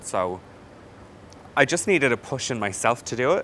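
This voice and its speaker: A man with an Irish accent, bright, sharp tone and moderate pace. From Ireland. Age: 20s. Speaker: hairdresser, salon owner. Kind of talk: testimonial interview answer.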